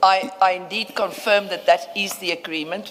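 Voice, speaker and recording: Words arrive at a moderate speed. Behind them, background noise is noticeable. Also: woman. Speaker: lawyer. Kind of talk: formal inquiry proceedings. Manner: loud.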